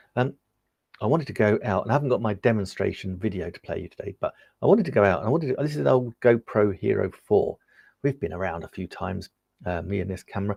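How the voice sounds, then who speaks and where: A man's fairly low, somewhat breathy voice in an English accent, very fast, with lively intonation, a dry, close sound with no echo, and a quiet background. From England. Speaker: tech reviewer and live-stream seller. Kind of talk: live-stream product demo. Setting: live stream. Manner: casual, chatty with fillers.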